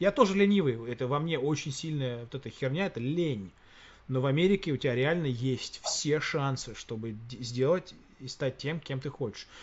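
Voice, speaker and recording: Lively intonation marks this man's fairly high, somewhat breathy voice. He speaks at a moderate pace. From Russia. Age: 40s. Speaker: podcast host. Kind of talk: casual chat.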